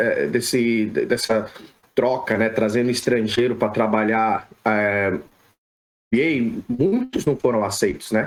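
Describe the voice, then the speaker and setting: A man speaks very slowly at a medium pitch, with ordinary pitch variation and very even loudness. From Brazil, São Paulo. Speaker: sports physiotherapist. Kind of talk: podcast interview.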